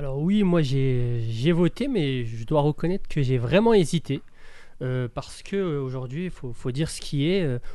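A man's fairly high pitch and dark, mellow tone, with lively intonation at a fairly slow pace. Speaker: brand founder, former financial controller. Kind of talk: political discussion. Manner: halting.

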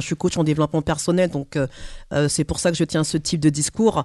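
Against a quiet background, a woman speaks at a very fast pace with fairly even intonation in a dry, close sound with no echo. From French Caribbean heritage. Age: 40s. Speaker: personal development coach. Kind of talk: radio panel discussion. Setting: studio.

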